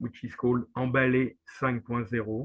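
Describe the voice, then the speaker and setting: With a French accent, a man talks at a medium pitch. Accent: typical French. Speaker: NGO representative. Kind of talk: webinar presentation. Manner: halting, many fillers.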